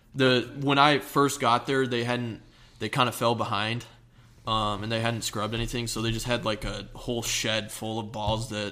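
In an American accent, a bright, sharp tone carries flat, monotone intonation at a moderate pace. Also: man. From US Northeast (New Jersey), earlier Ohio. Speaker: former high school football player. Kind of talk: interview.

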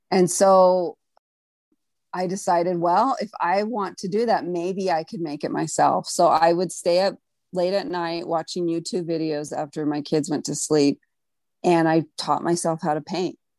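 A woman's normal speaking voice, fairly low in pitch, with an American accent, a moderate pace, ordinary pitch variation and a quiet background. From US, Mexican American. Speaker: artist. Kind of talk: casual chat.

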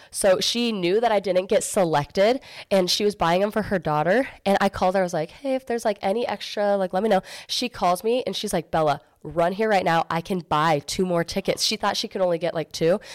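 Animated and fairly quick, a woman speaks with an American accent at medium pitch and ordinary pitch variation. The recording is very clean, with a silent background and a dry, close sound with no echo. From Arizona, Gilbert. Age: 20s. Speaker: entrepreneur. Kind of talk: casual chat.

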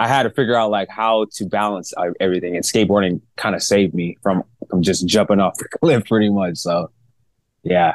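In a plain, everyday voice with an American accent, a man talks fairly quickly at a fairly low pitch with ordinary pitch variation, in a dry, close sound with no echo. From Long Beach and Cypress, Southern California. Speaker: pro skateboarder and DJ. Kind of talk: casual interview chat.

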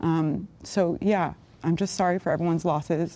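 A woman's fairly low, dark, mellow voice with fairly even intonation. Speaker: roundtable participant, Israel supporter. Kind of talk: heated debate.

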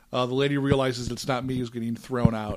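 A man's ordinary speaking voice, medium in pitch, at a fairly quick pace. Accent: American. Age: 40s. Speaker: hockey podcast co-host. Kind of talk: casual chat.

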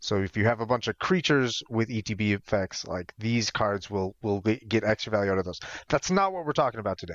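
Talking at a very fast pace with hardly any pauses, a man with an American accent uses a fairly low voice and ordinary pitch variation. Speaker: podcast co-host. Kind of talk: casual chat.

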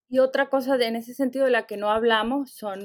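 A woman at a moderate pace with fairly even intonation, in a very clean recording with a silent background. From Venezuela. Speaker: literature professor. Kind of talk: interview. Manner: halting, many repeated words.

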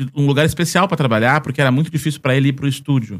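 With a plain, everyday voice, a man speaks at medium pitch with fairly even intonation. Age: 30s. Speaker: Disney travel content creator. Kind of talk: casual chat.

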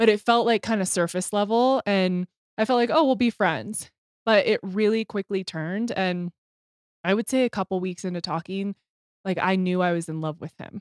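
This is an ordinary speaking voice from a woman at medium pitch with ordinary pitch variation. The recording is very clean with a silent background and a dry, close sound with no echo. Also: moderate pace. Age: 30s. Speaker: company CEO. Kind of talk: casual chat.

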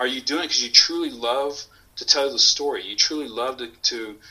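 A man with an American accent at a fairly quick pace. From Houston, Texas. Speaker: coffee company owner and former Marine. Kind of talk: casual interview.

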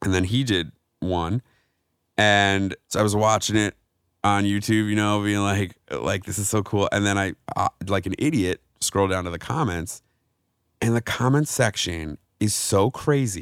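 A man with an American accent, fairly low in pitch, at a fairly slow pace, in a dry, close sound with no echo. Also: ordinary pitch variation, very clean recording, silent background. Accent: New York accent with Chicago tinge. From New York. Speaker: actor and comedian. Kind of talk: casual chat.

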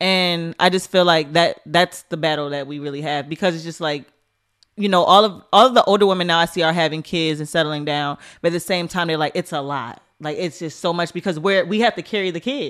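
Here is a woman with an American accent and a plain, everyday voice. She speaks at a fairly quick pace with a fairly low pitch and ordinary pitch variation. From US, Baltimore. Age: 20s. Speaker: music industry executive. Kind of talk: casual chat.

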